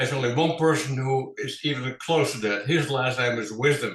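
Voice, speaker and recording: A man with a Dutch accent talks at a fairly quick pace. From Netherlands, Amsterdam. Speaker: financial advisor. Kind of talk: interview. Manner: formal.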